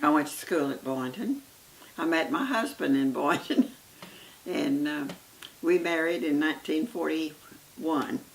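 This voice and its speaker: Very wide pitch swings and long, frequent pauses mark this fairly slow delivery in an American accent. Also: woman, fairly low pitch for a woman. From Oklahoma. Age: 80s+. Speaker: grandmother telling her life story. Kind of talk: oral history interview. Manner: halting, many hesitations.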